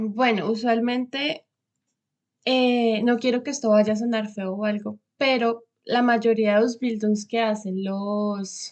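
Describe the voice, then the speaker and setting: A woman with a fairly high pitch speaks at a very slow pace, her intonation fairly even. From Colombia, Bogotá. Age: 20s. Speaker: vocational trainee, former lawyer. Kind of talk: interview.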